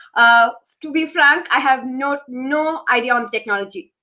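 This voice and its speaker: A woman projects a raised, high, bright and sharp voice at a moderate pace. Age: 30s. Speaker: dance teacher. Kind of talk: live online talk show Q&A. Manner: stammer.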